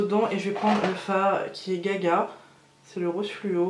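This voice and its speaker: Over noticeable background noise and audible room echo, a woman with a strong French accent talks at a medium pitch. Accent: strong French accent in English words. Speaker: beauty youtuber. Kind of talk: makeup tutorial. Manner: hesitant, many fillers; enthusiastic.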